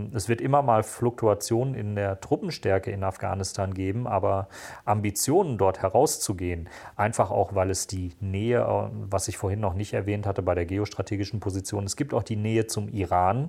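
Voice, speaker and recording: A man speaks at a moderate pace in a fairly low, somewhat breathy voice with a dark, mellow tone, recorded very cleanly against a silent background. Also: ordinary pitch variation. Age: 40s. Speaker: security policy analyst and podcaster. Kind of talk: interview.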